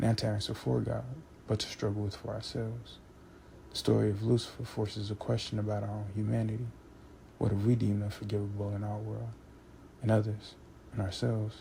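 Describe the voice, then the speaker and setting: Quiet and somewhat breathy, a man speaks at a fairly quick pace in a fairly low voice with fairly even intonation, leaving long, frequent pauses. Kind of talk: philosophical monologue, essay-style narration. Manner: monotone, quiet intensity, unperformed.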